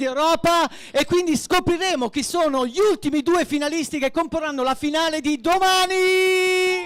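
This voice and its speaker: Speaking with an Italian accent at a very fast pace, a man uses an extremely high pitch. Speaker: event host. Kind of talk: live event hosting. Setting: stage with audience.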